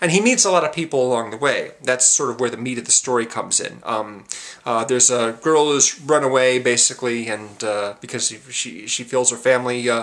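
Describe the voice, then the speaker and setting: Hardly pausing, a man at medium pitch talks at a fairly quick pace with ordinary pitch variation. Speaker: film review vlogger. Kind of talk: casual film review monologue. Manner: usually talks very fast; hesitant, many fillers (um, uh).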